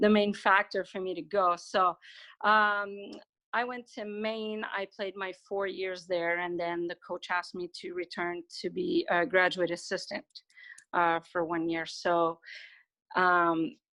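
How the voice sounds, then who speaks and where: At a fairly slow pace, a woman talks with a medium pitch, fairly even intonation and a bright, sharp tone, her sound dry and close with no echo over a quiet background. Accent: Quebec French. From Quebec. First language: French. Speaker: university soccer coach. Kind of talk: interview.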